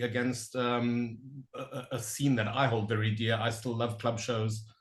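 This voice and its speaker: Somewhat breathy and medium in pitch, a man speaks at a moderate pace with audible room echo. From Southern Africa. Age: 40s. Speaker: interviewer. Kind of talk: casual interview chat.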